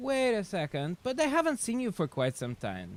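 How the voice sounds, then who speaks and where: In a Russian accent, a man speaks at a moderate pace with very wide pitch swings, the sound dry and close with no echo. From Siberia, Russia. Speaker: chess streamer. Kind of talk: casual live stream chat. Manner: halting, many fillers.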